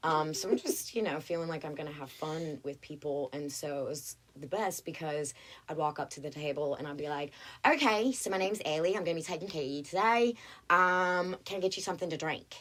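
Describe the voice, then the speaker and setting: Animated, fairly quick speech from a woman with a very deep, low-pitched voice and a Southern US accent, in a very clean recording with a silent background. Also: ordinary pitch variation. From North Carolina, Greensboro. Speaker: actress. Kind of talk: casual chat.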